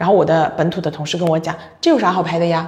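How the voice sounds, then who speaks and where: Very fast and animated, a woman talks in a fairly low voice. Noticeable background noise runs underneath. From China. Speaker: logistics company general manager. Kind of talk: casual interview.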